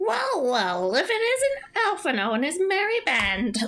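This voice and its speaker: A put-on character voice sits at a high pitch and swings very widely in pitch. It moves at a fairly slow pace. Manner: silly, smug, goofy.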